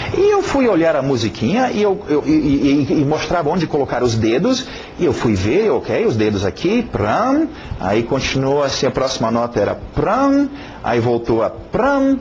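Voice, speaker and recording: A man with a non-native accent and very even loudness, over noticeable background noise. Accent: foreign accent in Portuguese. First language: English (speaking Portuguese). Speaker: English teacher. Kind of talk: lesson introduction. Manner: halting, many fillers and repetitions; casual, conversational.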